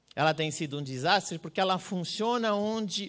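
A man's pitch swings very widely while the background stays quiet. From Brazil. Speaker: public security researcher; speaker. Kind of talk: conference talk. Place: hall. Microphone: handheld.

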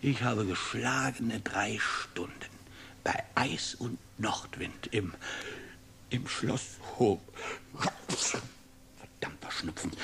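A put-on character voice, raspy and low-pitched, moves at a very slow pace with long, frequent pauses over clear background noise. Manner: mocking, cheeky, whining.

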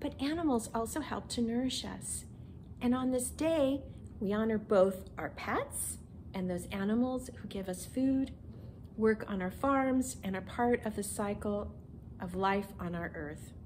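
A woman talks fairly slowly while light background noise runs underneath. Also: ordinary pitch variation. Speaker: minister. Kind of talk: children's message. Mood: gentle and warm. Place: home room.

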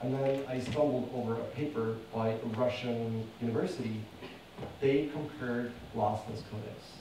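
The voice belongs to a man. Room echo is audible, along with noticeable background noise. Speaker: conference speaker. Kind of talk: conference presentation. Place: hall.

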